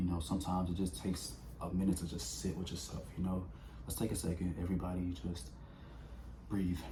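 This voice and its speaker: Audible room echo around a man with a very deep, low pitch, a very fast pace and long, frequent pauses. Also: ordinary pitch variation. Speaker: vlogger. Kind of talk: casual motivational talk.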